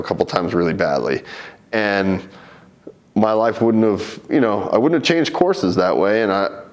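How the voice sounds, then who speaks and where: A man at a fairly low pitch and moderate pace, with noticeable background noise. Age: 30s. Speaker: MMA fighter. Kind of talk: interview.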